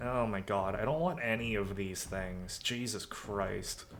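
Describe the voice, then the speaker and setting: There's audible room echo as a man speaks with ordinary pitch variation. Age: 20s. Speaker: vtuber streamer. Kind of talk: casual chat while gaming. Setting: live stream. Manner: animated.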